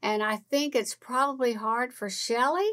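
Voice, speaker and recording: A woman with a high voice speaks at a fairly slow pace, her pitch varying in an ordinary way. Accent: slight Southern US. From California, Oklahoma, then Louisiana. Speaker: podcast co-host. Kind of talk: casual chat.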